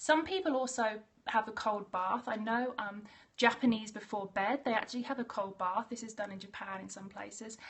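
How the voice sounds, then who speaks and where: A woman's somewhat breathy, fairly high voice with an Australian accent and ordinary pitch variation. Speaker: naturopath. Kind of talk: live stream talk. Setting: live video stream. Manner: fast.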